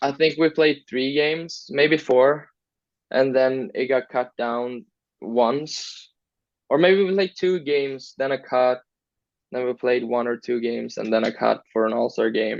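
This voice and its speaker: A man speaks with a Swedish accent. His pitch sits in the middle range, with ordinary variation. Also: fairly slow pace. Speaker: hockey player. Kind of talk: interview. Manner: casual, hesitant.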